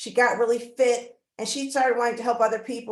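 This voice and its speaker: A woman with an unremarkable speaking voice talks at a fairly high pitch with fairly even intonation. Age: 60s. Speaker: community wellness center founder. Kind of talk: webinar panel talk.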